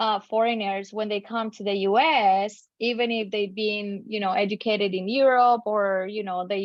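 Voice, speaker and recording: A woman speaks at a moderate pace with a Spanish accent. Her pitch is medium and her intonation fairly even. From Colombia. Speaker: tax attorney. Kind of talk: podcast interview.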